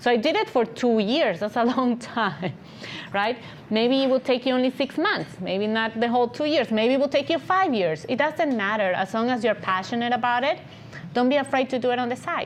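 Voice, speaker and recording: With a non-native accent, a woman speaks in a high pitch with lively intonation and very even loudness over noticeable background noise. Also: fairly quick pace. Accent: foreign accent, reduced from thicker. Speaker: agency founder and CEO. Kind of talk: podcast interview. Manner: animated.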